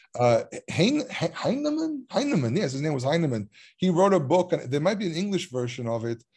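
Speaking in an Israeli accent at a fairly quick pace, a man uses a high pitch with very wide pitch swings. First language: Hebrew. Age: 30s. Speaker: biblical scholar and Hebrew teacher. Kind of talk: casual chat. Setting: video call.

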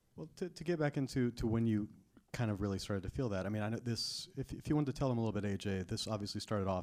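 A man speaks at a very fast pace. His fairly low voice has lively intonation. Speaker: Q&A moderator. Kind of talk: moderated Q&A. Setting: theater stage with audience.

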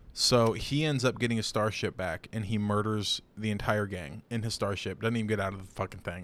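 A man with an ordinary speaking voice talks at a fairly quick pace, with hardly any pauses. His pitch is fairly low with ordinary variation, and the recording is very clean with a silent background. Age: 20s. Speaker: podcast co-host. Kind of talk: casual chat. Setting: home studio with camera.

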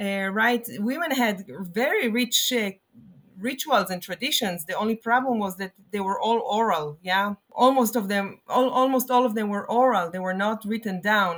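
A woman speaks at a moderate pace. Her pitch is fairly high, with ordinary variation. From Israel, Jerusalem. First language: Hebrew. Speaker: rabbi and professor of liturgy. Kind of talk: interview conversation. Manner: halting, many fillers.

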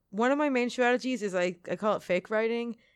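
A woman with an American accent uses a normal speaking voice at a fairly quick pace with ordinary pitch variation, recorded with a dry, close sound with no echo and a quiet background. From US, Pennsylvania (Philadelphia area). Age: 20s. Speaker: freelance journalist. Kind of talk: interview. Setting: in person at a college.

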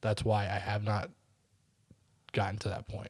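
The recording is very clean, with a silent background. A man speaks at a moderate pace in a fairly low, dark, mellow voice that is somewhat breathy. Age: 30s. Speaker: podcast co-host. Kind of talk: casual chat.

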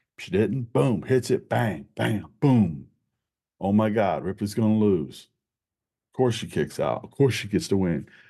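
Lively intonation and big swings in loudness mark this dark, mellow voice with vocal fry. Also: man, fairly low pitch for a man. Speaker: wrestling podcast host. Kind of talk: wrestling commentary rant, a quick-fire knee-jerk reaction review. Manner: casual, conversational, upbeat.

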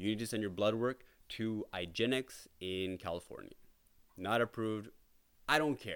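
At a moderate pace, a man with a Toronto accent talks in a fairly low pitch with ordinary pitch variation. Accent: Canadian English (Toronto). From Canada, Toronto area (Brampton). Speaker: podcaster sharing illness journey. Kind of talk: personal monologue. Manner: hesitant, many fillers.

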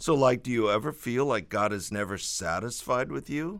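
This man speaks at medium pitch and a moderate pace, his pitch swinging very widely. The recording is very clean with a silent background. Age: 60s. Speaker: pastor and author. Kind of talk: reading aloud.

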